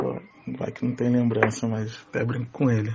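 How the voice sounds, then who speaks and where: Flat and monotone, a man talks at a medium pitch and a moderate pace. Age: 20s. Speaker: podcast listener sharing UFO experiences. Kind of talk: personal testimony.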